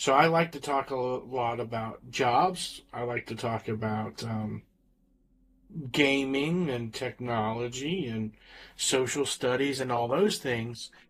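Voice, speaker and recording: Someone speaks in a Southern US accent at a very slow pace with ordinary pitch variation. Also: man, medium pitch for a man. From US South, Florida. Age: 40s. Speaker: streamer and high school teacher. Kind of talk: casual live-stream chat. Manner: hesitant, many fillers.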